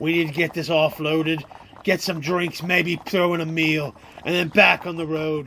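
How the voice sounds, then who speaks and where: A raspy, put-on character voice speaks at a moderate pace. The intonation stays fairly even. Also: man. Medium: audio drama. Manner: gruff, folksy, bossy.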